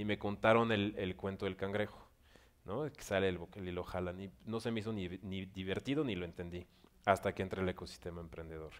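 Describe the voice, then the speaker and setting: A fairly quick pace with ordinary pitch variation. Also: man, very deep, low pitch for a man. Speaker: director of an entrepreneurship organization. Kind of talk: panel interview at business forum.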